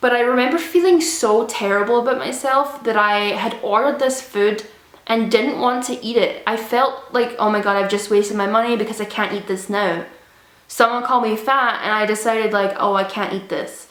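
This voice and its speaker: A woman with a fairly high voice talks over noticeable background noise. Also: ordinary pitch variation, moderate pace. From Scotland. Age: 20s. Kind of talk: casual storytime talk to camera.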